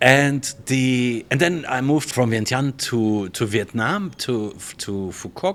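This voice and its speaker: A man with a German accent, medium pitch and lively intonation at a very slow pace. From Germany. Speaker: hotel general manager. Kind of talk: interview. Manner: casual, with frequent fillers.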